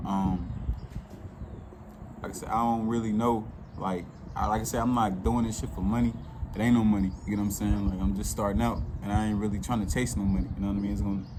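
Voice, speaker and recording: A fairly low-pitched man at a very fast pace, with lively intonation, long, frequent pauses and audible room echo. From Chicago, South Side. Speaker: YouTuber telling his life story. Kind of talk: casual storytelling monologue. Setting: outdoors. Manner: casual, heavy filler words.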